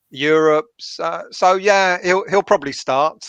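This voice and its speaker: A man with a London accent at a fairly slow pace, recorded dry and close with no echo against a quiet background. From North London, England. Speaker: football fan guest. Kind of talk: casual chat.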